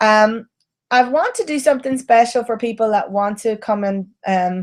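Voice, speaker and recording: Delivered at a fairly slow pace, this is an ordinary speaking voice with ordinary pitch variation. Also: woman. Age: 40s. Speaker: photography teacher. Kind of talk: live webinar sales pitch. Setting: live online video broadcast. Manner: casual, with frequent fillers and restarts.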